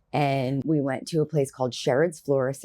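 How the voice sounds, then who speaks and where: Her voice is very deep and low, with a dark, mellow tone and vocal fry, as this woman speaks at a moderate pace. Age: 40s. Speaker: florist and flower farmer. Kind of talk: interview. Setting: outdoors on a flower farm.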